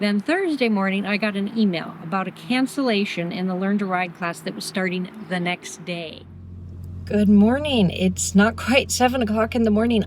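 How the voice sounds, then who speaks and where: This woman talks at a moderate pace with medium pitch and ordinary pitch variation. Noticeable background noise sits behind her. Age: 50s. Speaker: beginner motorcycle rider and hiker. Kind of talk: vlog narration to camera.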